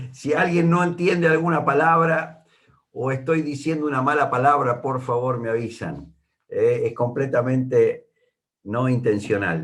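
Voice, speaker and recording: Somewhat breathy and fairly high for a man, his voice carries ordinary pitch variation at a fairly slow pace amid audible room echo. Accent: porteño. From Argentina, Buenos Aires. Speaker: Bible teacher. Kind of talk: Bible study. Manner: hesitant, many fillers.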